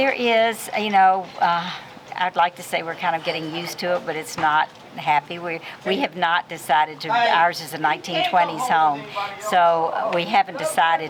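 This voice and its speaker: Someone with an American accent talks at a moderate pace with ordinary pitch variation against noticeable background noise. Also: woman. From US South, Nashville, Tennessee. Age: old. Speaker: community leader. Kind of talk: interview. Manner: hesitant, many fillers.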